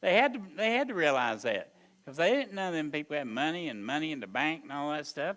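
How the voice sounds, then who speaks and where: The man's tone is bright and sharp. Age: 70s. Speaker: Sunday school teacher and preacher. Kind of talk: Sunday school lesson.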